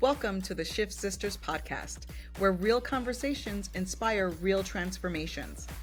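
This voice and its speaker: A woman talks at a fairly slow pace as music plays behind her. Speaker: podcast co-host. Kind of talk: podcast intro.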